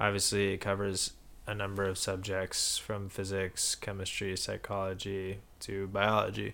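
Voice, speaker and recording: A man with an unremarkable speaking voice and fairly low pitch talks at a fairly slow pace. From Minnesota, moved abroad often. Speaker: podcast host. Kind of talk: casual interview. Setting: childhood home basement, in person.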